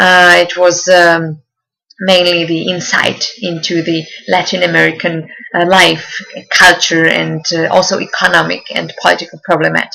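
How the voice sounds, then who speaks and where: A woman with a Czech accent at a moderate pace. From Czech Republic. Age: 20s. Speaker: university student. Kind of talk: self-presentation. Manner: halting, many fillers.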